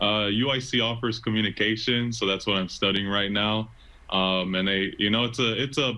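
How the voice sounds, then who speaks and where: A plain, everyday voice from a man with an American accent, fairly low-pitched, fairly even in intonation, at a moderate pace. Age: 20s. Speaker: stadium PA announcer and college student. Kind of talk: casual interview answer.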